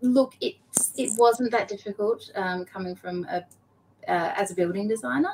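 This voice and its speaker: An Australian-accented woman at a medium pitch, her voice making very wide pitch swings. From Queensland, Australia. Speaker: blockchain association operations executive. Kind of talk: interview.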